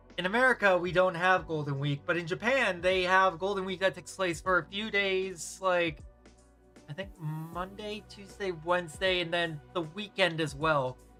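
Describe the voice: Someone speaks with a Boston accent at a moderate pace. Music plays in the background.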